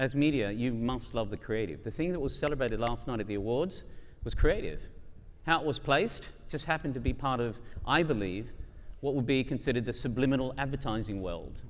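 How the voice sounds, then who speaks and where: In a room with audible echo, a man speaks at a fairly quick pace with a medium pitch and ordinary pitch variation. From Australia. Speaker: advertising industry speaker. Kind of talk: conference debate speech. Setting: stage with audience. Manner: animated.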